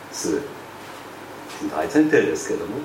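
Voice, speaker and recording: Noticeable background noise and audible room echo surround a man's voice. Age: 60s. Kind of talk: sermon.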